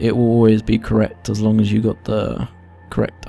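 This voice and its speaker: Quiet speech at a moderate pace comes in a monotone, flat intonation over noticeable background noise. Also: man. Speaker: gaming youtuber. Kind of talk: game tutorial. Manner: quiet, low volume.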